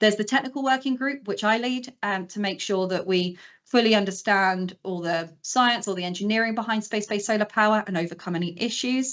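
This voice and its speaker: A woman talks with ordinary pitch variation in an unremarkable speaking voice. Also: fairly high pitch for a woman, fairly quick pace, hardly any pauses. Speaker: space engineer. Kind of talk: conference talk. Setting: live stream presentation.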